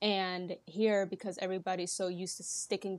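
The recording is very clean, with a silent background. A woman speaks at a moderate pace in a medium pitch, with monotone, flat intonation. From Netherlands, Rotterdam. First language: Dutch. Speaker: podcast guest, Dutch immigrant in the US. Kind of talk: casual interview chat.

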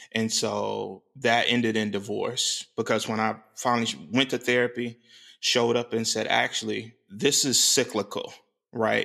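A man of medium pitch speaks at a moderate pace in a bright, sharp tone with vocal fry. His intonation is monotone and flat, on a very clean recording with a silent background. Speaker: podcast co-host. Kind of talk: casual chat.

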